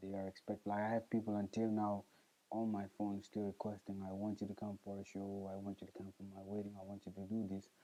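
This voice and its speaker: A man talks at a very fast pace and a fairly low pitch. His intonation is monotone and flat. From South Sudan. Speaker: musician. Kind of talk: interview.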